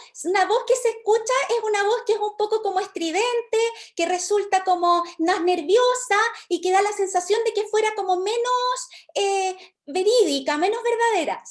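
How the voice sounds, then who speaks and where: A woman uses a shrill, put-on character voice at an extremely high pitch with ordinary pitch variation. Her tone is nervous and her pace moderate. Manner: nervous, strident.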